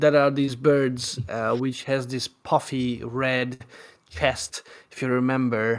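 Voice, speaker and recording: A man with a Hungarian accent at a medium pitch, very slow and monotone, with flat intonation. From Hungary. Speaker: live stream host. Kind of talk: casual chat.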